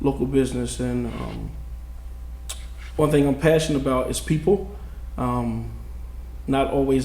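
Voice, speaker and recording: A man with an American accent at a moderate pace, plus audible room echo. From New Jersey. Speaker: city council candidate. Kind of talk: candidate forum opening statement. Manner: casual, many fillers.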